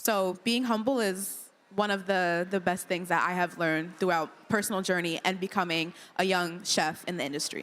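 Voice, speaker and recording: Here is a woman in an ordinary speaking voice, medium in pitch, at a moderate pace with fairly even intonation. The recording is very clean, with a silent background. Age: young. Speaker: young chef, panelist. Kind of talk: panel discussion.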